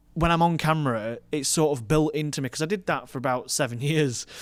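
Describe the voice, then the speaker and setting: Recorded very cleanly with a silent background, a man speaks at a fairly high pitch. He moves at a fairly quick pace with ordinary pitch variation. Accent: strong northern English. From northern England, Rotherham. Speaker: wedding and commercial filmmaker. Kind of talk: casual podcast conversation.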